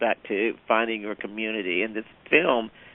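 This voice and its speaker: Here a man talks at a fairly low pitch with a Southern accent. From US South. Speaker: theater director. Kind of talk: interview.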